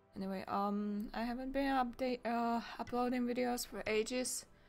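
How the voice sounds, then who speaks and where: A woman's speech carries ordinary pitch variation and a moderate pace while music plays in the background. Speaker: gaming commentator. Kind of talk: casual gameplay commentary.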